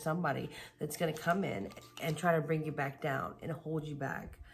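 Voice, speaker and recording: Quiet and somewhat breathy, a woman speaks fairly quickly at a very deep, low pitch amid audible room echo. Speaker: tarot reader. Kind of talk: tarot reading. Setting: at home late at night. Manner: casual.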